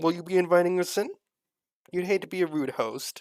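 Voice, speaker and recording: A man does a put-on character voice, pitched high. He talks at a fairly quick pace. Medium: actual play. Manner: condescending, sarcastic.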